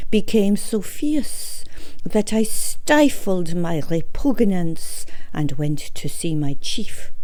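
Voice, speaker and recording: A woman's very slow, lively-inflected speech at very even loudness, with noticeable background noise. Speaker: story reader. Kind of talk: read short story.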